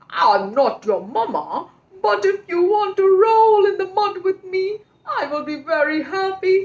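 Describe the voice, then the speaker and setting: A woman performs a put-on character voice at an extremely high pitch. Her pace is fairly slow. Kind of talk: children's story narration.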